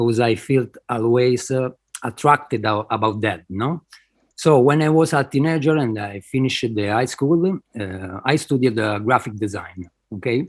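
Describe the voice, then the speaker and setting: A man at medium pitch with an Italian accent, ordinary pitch variation and a moderate pace, on a very clean recording with a silent background. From Italy. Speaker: digital artist. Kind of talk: interview. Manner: halting, hesitant.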